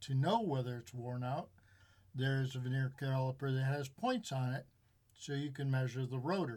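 Somewhat breathy, a man with an American accent speaks at a moderate pace and a medium pitch, with ordinary pitch variation. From US Midwest, Chicago suburbs. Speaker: auto mechanic. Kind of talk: casual chat. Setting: studio.

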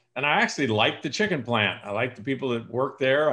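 With a West Coast US accent, a man speaks at a medium pitch. The rise and fall of his voice is ordinary. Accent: General American (West Coast). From California, San Joaquin Valley. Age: 60s. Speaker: sales coach and speaker. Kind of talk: podcast interview.

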